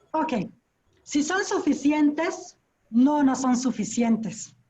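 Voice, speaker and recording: A woman with a dark, mellow tone speaks at a fairly slow pace. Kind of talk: conference Q&A. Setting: online video conference.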